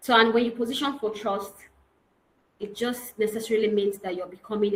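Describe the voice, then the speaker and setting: Audible room echo around a woman's medium-pitched speech of fairly even intonation. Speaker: real estate consultant and trainer. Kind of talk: online training lecture.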